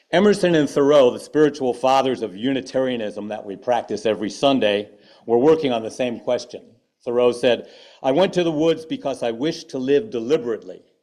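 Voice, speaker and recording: A man speaks at a fairly quick pace with lively intonation. His voice is medium in pitch and dark and mellow in tone. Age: 70s. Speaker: activist and artist. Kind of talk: sermon. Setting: church.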